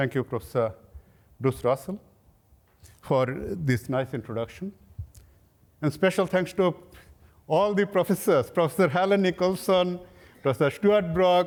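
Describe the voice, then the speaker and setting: A man's high-pitched voice with lively intonation and long, frequent pauses. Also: moderate pace. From Bangladesh, near Dhaka. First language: Bangla. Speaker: professor. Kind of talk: lecture.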